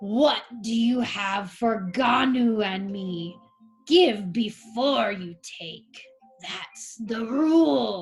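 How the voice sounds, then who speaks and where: A woman's put-on character voice, fairly high in pitch and very slow, over faint music in the background. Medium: read story. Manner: gruff, cranky.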